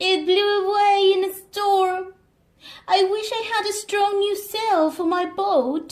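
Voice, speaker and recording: A woman puts on a character voice at an extremely high pitch, speaking at a fairly slow pace. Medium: read story.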